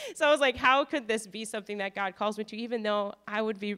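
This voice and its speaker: A woman talks at a fairly high pitch with ordinary pitch variation and a bright, sharp tone. She has an Upper Midwest accent. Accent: Upper Midwest American. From North Dakota. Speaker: missionary. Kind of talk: testimony. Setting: church.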